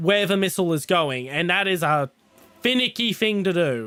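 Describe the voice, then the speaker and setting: A man's high-pitched voice with lively intonation over music in the background. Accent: Australian. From Australia. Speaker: gaming streamer. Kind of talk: casual live stream chat. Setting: live stream, playing on PC. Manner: hesitant with many fillers.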